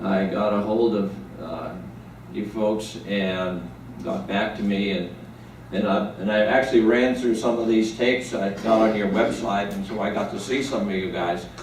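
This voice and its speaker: An American accent at a moderate pace with ordinary pitch variation, plus noticeable background noise and audible room echo. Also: man, fairly low pitch for a man. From New England, near Boston. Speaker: war veteran. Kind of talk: testimony. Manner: halting.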